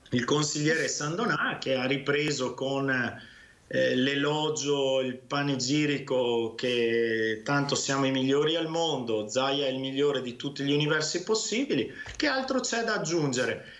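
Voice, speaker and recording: Set in audible room echo, a man's fairly high voice moves at a fairly slow pace with ordinary pitch variation. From Veneto, Italy. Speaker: regional councillor and physician; regional councillor. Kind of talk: heated debate. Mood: critical, argumentative. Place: home room. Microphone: webcam.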